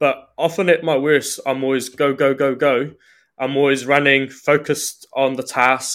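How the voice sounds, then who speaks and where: A man's fairly high, monotone voice with flat intonation and a New Zealand accent, on a very clean recording with a silent background. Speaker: trainee priest. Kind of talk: casual interview.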